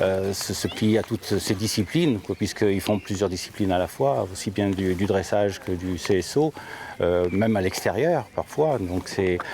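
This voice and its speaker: Speaking at a fairly slow pace, a man uses a fairly low pitch with ordinary pitch variation. Background noise is noticeable. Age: 60s. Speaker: amateur rider. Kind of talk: interview. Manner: hesitant, many fillers.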